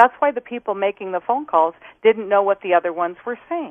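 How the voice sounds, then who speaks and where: A woman with an unremarkable speaking voice talks in an American accent. Her pitch is fairly high and her intonation lively. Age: 60s. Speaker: former flight attendant. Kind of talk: interview.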